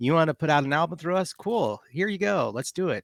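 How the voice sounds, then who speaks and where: A man speaks with a Texas accent and ordinary pitch variation. The sound is dry and close, with no echo. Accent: Texas twang, some y'all. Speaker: game designer and game master. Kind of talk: game introduction and rules explanation on a live stream. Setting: live online stream.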